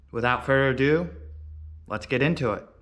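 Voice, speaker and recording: This man's voice sits at a medium pitch. It rises and falls with ordinary variation. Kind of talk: casual talk to camera.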